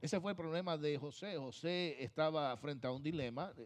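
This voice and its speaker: A man speaking at a fairly slow pace. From Puerto Rico. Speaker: pastor. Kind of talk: sermon. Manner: emphatic, repetitive preaching.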